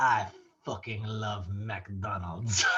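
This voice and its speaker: Someone puts on a character voice that is low-pitched and raspy. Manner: comic, deadpan.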